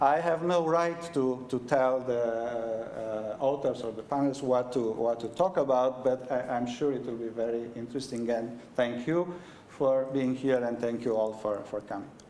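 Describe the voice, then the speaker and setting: With a Romanian accent, a man speaks at a moderate pace and medium pitch, with ordinary pitch variation, hardly any pauses and noticeable background noise. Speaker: head of university school. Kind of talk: event welcome speech. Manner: halting, many fillers.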